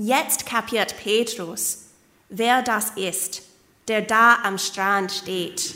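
The speech comes very slowly with fairly even intonation over noticeable background noise. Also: woman, fairly high pitch for a woman. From Canada, Kitchener-Waterloo, Ontario. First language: English (speaking German). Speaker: preacher, doctoral student. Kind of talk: sermon. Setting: church service.

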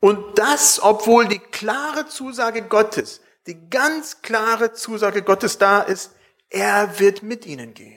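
Very slow pace over music in the background. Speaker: preacher. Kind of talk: sermon. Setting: church with congregation. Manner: earnest, warm, pastoral; measured, conversational, with emphatic repetition.

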